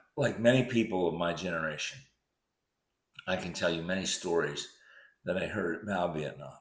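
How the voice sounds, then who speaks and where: An American-accented man with a very deep, low pitch and ordinary pitch variation speaks at a moderate pace, pausing long and often, with audible room echo. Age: 70s. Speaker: physician recounting memories. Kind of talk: personal essay narration.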